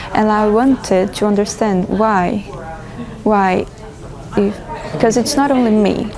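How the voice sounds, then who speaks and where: The speaker has a Portuguese accent, fairly even intonation and a moderate pace. Noticeable background noise and audible room echo are present. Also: woman. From Brazil. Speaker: feminist interviewee. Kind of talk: interview.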